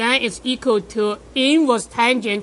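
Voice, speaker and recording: With a non-native accent, a woman speaks very slowly at a fairly high pitch and with fairly even intonation. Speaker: math professor. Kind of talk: lecture.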